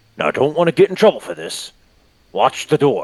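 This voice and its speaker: A man puts on a raspy character voice at a moderate pace. The sound is dry and close, with no echo. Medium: actual play. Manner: gruff, cautious.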